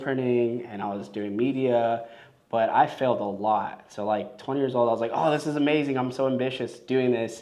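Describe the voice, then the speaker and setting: At a fairly quick pace, a man with a Los Angeles accent speaks at a medium pitch with fairly even intonation and audible room echo. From Los Angeles, US. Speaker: filmmaker and business owner. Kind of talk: podcast interview. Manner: casual, filler-heavy.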